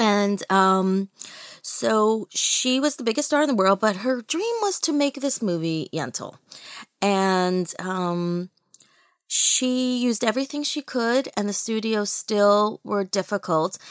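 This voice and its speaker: A woman's fairly high-pitched voice with an American accent and lively intonation, at a very slow pace, on a very clean recording with a silent background and a dry, close sound with no echo. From US, New York (Brooklyn). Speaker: film festival founder and publisher. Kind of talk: interview.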